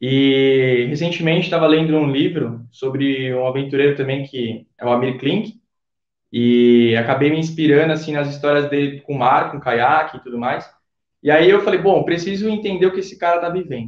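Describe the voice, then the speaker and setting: Here a man speaks in an ordinary speaking voice. His pace is moderate and his pitch variation ordinary. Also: fairly high pitch for a man, big swings in loudness. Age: 20s. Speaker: photographer, former student. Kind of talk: casual interview, travel story.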